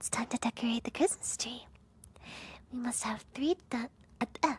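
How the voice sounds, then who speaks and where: A woman whispers in a put-on character voice at a moderate pace. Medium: virtual streamer. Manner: flustered, good-natured.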